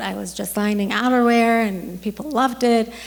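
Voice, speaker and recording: The room's echo can be heard. Through it, a woman talks at a moderate pace. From Iran. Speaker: dentist. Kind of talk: talk to an audience. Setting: stage with audience. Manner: halting, with many ums.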